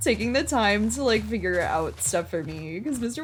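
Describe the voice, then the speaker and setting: A woman at a medium pitch with an American accent, fairly quick, with very wide pitch swings and music in the background. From US Midwest. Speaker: game streamer. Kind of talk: casual chat. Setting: live stream. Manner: halting, self-described word stumbling; filler-heavy, frequent 'like'.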